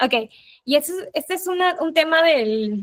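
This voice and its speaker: A Peruvian accent with ordinary pitch variation. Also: woman. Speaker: UX designer giving a talk. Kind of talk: presentation with slides. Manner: hesitant filler words.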